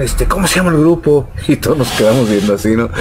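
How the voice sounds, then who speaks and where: Against noticeable background noise, a man speaks fairly quickly at a medium pitch. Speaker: rock drummer. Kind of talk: interview answer, storytelling. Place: shop. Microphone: studio mic.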